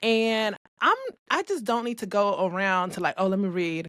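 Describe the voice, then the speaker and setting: A woman with an American accent has a plain, everyday voice, speaking at a moderate pace with ordinary pitch variation on a very clean recording with a silent background. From US West Coast, Los Angeles. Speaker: podcast co-host, business owner. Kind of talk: casual chat.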